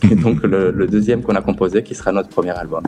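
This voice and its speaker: Over music in the background, a man with a slight Spanish accent speaks fairly quickly at a fairly low pitch. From southern France, Perpignan. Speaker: musician and guitar teacher. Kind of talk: radio interview.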